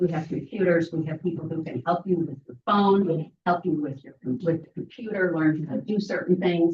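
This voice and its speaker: A woman with an American accent speaks at a moderate pace. Her fairly low, somewhat breathy voice has ordinary pitch variation. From Southern California. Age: 80s+. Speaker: library volunteer, former council member. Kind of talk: public comment at council meeting. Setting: city council meeting.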